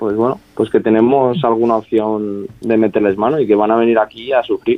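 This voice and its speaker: The man's voice lands at a middling pitch. He keeps to a moderate tempo. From Salamanca, Spain. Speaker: footballer. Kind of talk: radio interview.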